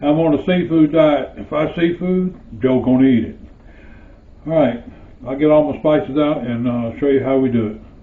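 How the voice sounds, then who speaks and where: Amid noticeable background noise and audible room echo, the speaker keeps a moderate pace with ordinary pitch variation and long, frequent pauses. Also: man, fairly high pitch for a man. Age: 60s. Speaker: home cooking video host. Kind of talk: cooking tutorial. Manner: halting, many filler uhs.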